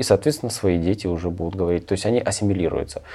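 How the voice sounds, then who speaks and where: This man's voice has a dark, mellow tone. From Ukraine. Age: 40s. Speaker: truck driver and emigrant. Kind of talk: interview.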